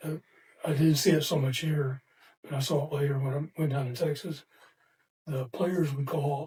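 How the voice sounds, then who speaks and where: This man has a fairly high pitch and a dark, mellow, somewhat breathy tone. His intonation is monotone and flat, with long, frequent pauses. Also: moderate pace. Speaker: retired football coach and sports hall of famer. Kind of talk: casual interview. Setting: podcast studio. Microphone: too far from the mic.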